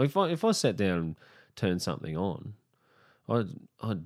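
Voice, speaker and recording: A man's fairly low voice with an Australian accent, very wide pitch swings, a moderate pace and a dry, close sound with no echo. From Brisbane, Queensland, Australia. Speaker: comedian. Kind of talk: casual chat.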